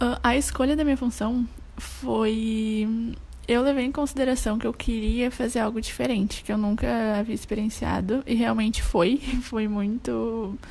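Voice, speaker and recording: At a fairly high pitch, a woman with an unremarkable speaking voice talks at a moderate pace with fairly even intonation. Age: 20s. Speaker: tourism student, former exchange worker. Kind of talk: casual interview chat.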